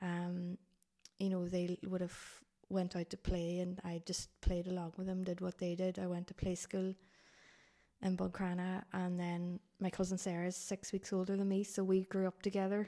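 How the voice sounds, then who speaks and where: A woman with a Donegal accent talks at a moderate pace and medium pitch. Her tone is dark and mellow, and her intonation is monotone and flat. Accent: Donegal Irish. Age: 30s. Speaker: blind hiker. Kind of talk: casual interview.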